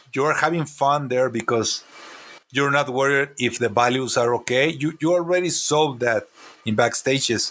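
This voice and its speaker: Keeping his loudness very even, a man with a Mexican accent speaks at a moderate pace in a fairly high voice. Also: ordinary pitch variation. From Mexico, Chihuahua. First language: Spanish. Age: 40s. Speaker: comic artist and character designer. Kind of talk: interview. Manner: halting.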